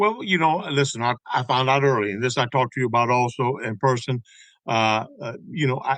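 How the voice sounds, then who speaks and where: In a plain, everyday voice with an American accent, a man talks at a fairly quick pace and medium pitch with ordinary pitch variation, the sound dry and close with no echo. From Tampa, Florida (West Tampa). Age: 60s. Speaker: songwriter and baseball historian. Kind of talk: casual interview chat.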